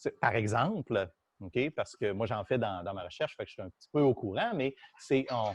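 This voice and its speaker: Heard in a dry, close sound with no echo, a man with a Quebec accent speaks with lively intonation and big swings in loudness. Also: medium pitch for a man, moderate pace. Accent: Québécois French. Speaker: university physics professor. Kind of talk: lecture. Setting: classroom, also streamed on Zoom. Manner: halting, many fillers.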